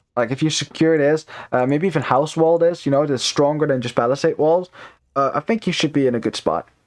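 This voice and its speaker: Using ordinary pitch variation, a man speaks fairly quickly at a fairly high pitch. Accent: non-native. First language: not English. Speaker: esports caster. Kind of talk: live commentary. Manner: casual, many fillers.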